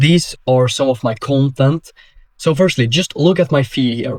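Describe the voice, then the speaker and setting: Speaking with a Swedish accent, a man uses an energetic tone at medium pitch and a fairly slow pace. The sound is dry and close, with no echo. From Sweden. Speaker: business coach. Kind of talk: tutorial.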